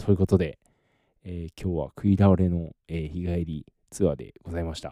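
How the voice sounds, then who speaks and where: Very clean and silent in the background, this recording features a man with a very deep, low pitch. His tone is dark and mellow, with fairly even intonation. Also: dry, close sound with no echo. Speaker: podcaster. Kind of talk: casual solo podcast monologue.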